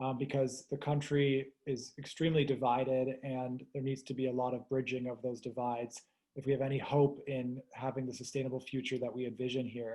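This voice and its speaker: Fairly quick, monotone, flat delivery with an American accent and hardly any pauses. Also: man, medium pitch for a man. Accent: sounds American. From outside the US. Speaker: panelist on agriculture. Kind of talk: panel discussion.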